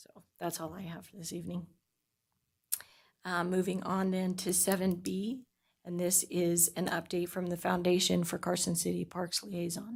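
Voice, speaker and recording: Somewhat breathy and fairly low-pitched, a woman speaks at a moderate pace in a flat monotone, her loudness swinging a lot. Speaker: commission chair. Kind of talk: public meeting.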